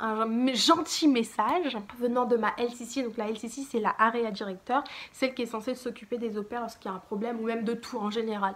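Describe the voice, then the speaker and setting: A woman with a plain, everyday voice talks at a fairly quick pace, with fairly high pitch and fairly even intonation. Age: 20s. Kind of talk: casual storytime talk to camera.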